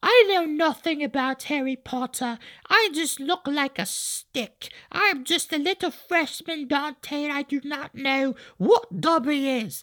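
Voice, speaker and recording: Someone performs a put-on character voice at a high pitch, captured in a very clean recording with a silent background. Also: fairly slow pace. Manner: innocent, naive.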